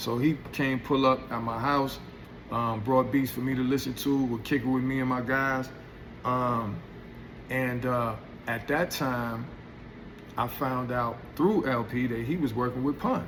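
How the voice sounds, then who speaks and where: Long, frequent pauses break up a relaxed-toned voice at a fairly slow pace, with audible room echo. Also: man, medium pitch for a man. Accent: New York. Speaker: hip hop artist telling stories. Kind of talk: storytelling monologue. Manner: halting, self-interrupting; relaxed, casual.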